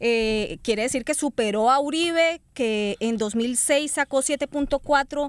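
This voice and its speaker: In a Colombian accent, a woman with a high-pitched voice and ordinary pitch variation speaks at a fairly slow pace with hardly any pauses, in a very clean recording with a silent background and a dry, close sound with no echo. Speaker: radio host. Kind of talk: panel discussion. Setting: studio. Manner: formal.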